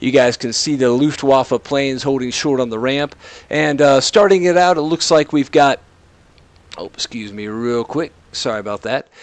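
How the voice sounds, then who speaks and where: An American accent with ordinary pitch variation, in a dry, close sound with no echo. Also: man, fairly high pitch for a man. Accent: southern drawl, comes out sometimes. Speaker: esports commentator. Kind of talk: live commentary.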